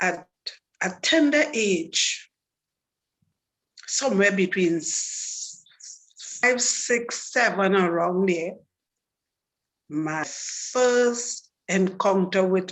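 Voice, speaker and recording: A woman with a Trinidadian accent, medium pitch and lively intonation, at a very slow pace with long, frequent pauses. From Trinidad and Tobago. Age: 60s. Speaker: testimony speaker. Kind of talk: testimony.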